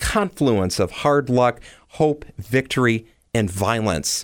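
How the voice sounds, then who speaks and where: Lively intonation marks this man's Michigan accent, delivered at a medium pitch and fairly slow pace. The recording is very clean, with a silent background. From Detroit. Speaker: podcast host. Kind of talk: scripted narration.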